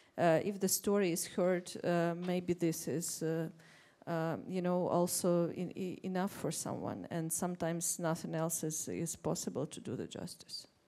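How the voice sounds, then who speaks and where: A dark, mellow tone in a Russian accent, monotone and flat in intonation, at a moderate pace. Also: woman, fairly low pitch for a woman. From Ukraine. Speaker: writer on a panel. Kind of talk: panel discussion. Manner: halting.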